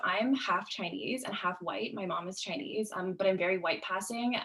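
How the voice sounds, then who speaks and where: Talking at a fairly quick pace with hardly any pauses, a woman with a western Canadian accent shows ordinary pitch variation over noticeable background noise. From Canada, West Vancouver. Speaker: student panelist. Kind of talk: webinar panel discussion. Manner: fast.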